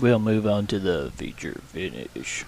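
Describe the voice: A man in a put-on character voice, fairly low in pitch, at a fairly slow pace over clear background noise.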